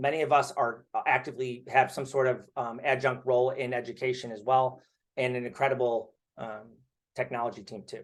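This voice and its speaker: Delivered at a fairly quick pace, the speech is monotone and flat, with big swings in loudness. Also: man, medium pitch for a man. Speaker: startup founder pitching investors. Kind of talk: startup pitch presentation. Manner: fast.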